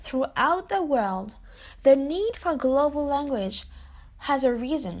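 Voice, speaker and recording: A woman speaks very slowly in a French accent. Her high voice swings very widely in pitch. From France. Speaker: international student. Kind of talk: student presentation.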